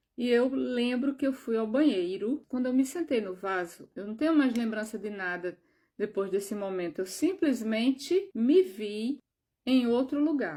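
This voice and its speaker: The speaker has a dark, mellow tone and lively intonation at a fairly slow pace. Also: woman. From Brazil, João Pessoa (Northeast). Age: 60s. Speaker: spiritual video creator. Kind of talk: personal testimony.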